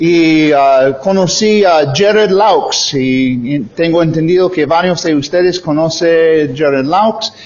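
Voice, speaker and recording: In an English accent, a man with a high pitch talks at a very slow pace with ordinary pitch variation, amid audible room echo and noticeable background noise. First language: English (speaking Spanish). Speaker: missionary preacher. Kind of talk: sermon. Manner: halting, many fillers.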